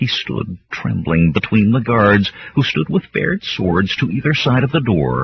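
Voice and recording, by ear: Lively intonation marks a passage read aloud in a natural voice.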